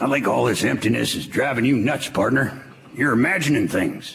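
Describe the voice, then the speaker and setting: Using a raspy put-on character voice at medium pitch, a man talks at a fairly quick pace with audible echo around him. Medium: old radio play. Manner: dry, laconic.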